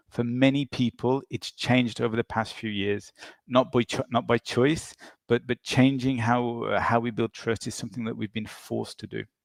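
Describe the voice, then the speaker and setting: The man's voice sits at medium pitch with monotone, flat intonation, at a moderate pace. The sound is dry and close, with no echo. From England. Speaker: chief people officer. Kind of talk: webinar talk.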